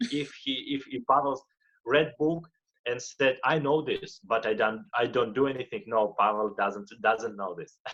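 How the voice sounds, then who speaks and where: A man speaks with a Russian accent and ordinary pitch variation. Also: medium pitch for a man, moderate pace. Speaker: motivational speaker and life coach. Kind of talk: interview. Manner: halting, frequent repetitions.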